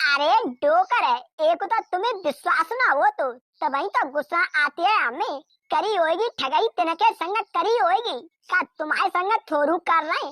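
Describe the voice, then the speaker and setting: A woman puts on a cartoonish character voice at an extremely high pitch. She speaks at a moderate pace with lively intonation. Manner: wheedling, sly.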